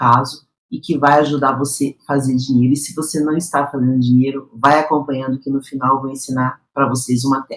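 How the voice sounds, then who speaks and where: A woman's very deep, low-pitched voice. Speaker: professional announcer and voice coach. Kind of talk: educational talk to camera. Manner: clear, didactic, engaging.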